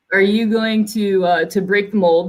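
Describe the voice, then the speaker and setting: A woman speaks in a plain, everyday voice. Her pace is moderate and her intonation fairly even. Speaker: company executive moderating panel. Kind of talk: virtual panel discussion. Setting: video call.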